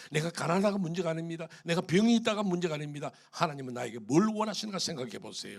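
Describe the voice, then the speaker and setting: An animated, fairly high-pitched man's voice with vocal fry, at a fairly quick pace. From Korea, Gyeongsang region. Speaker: pastor. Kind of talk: sermon.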